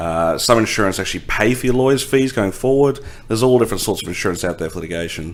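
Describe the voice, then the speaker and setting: With an Australian accent, a man talks at a very fast pace in a medium pitch with lively intonation. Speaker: insurance company lawyer and executive. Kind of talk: podcast interview. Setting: law office.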